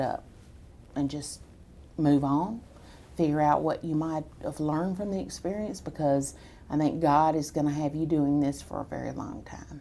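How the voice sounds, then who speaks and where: A woman with an American accent speaks at a very deep, low pitch in a dark, mellow tone. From Texas. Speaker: political activist. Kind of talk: interview.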